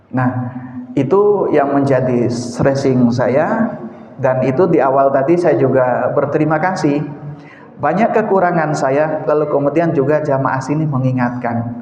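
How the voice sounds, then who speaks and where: Over noticeable background noise and audible room echo, the voice moves at a fairly slow pace with ordinary pitch variation and very even loudness. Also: man, fairly high pitch for a man. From eastern Indonesia. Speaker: mosque preacher. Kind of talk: sermon. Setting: mosque.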